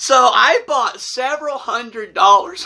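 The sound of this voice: Speaking slowly, a man produces an extremely high pitch in a bright, sharp tone.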